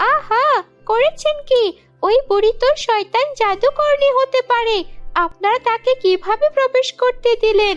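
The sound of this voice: A cartoonish character voice at a moderate pace, with faint music in the background. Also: woman, extremely high pitch for a woman.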